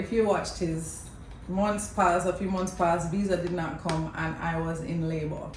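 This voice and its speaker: Amid noticeable background noise and audible room echo, a woman speaks at a moderate pace with a fairly low pitch and monotone, flat intonation. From Jamaica. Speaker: mother of the channel owner, former pageant queen. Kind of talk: storytelling. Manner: casual, conversational.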